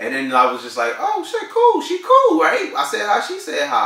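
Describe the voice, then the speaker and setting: Noticeable background noise and audible room echo around a man's moderate pace and American accent. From New Jersey, Newark. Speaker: vlogger. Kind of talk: casual chat. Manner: animated.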